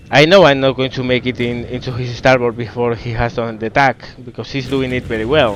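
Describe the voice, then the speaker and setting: A man's medium-pitched voice at a fairly quick pace, fairly even in intonation, over noticeable background noise. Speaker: gaming commentator. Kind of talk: gameplay commentary. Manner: casual, hesitant.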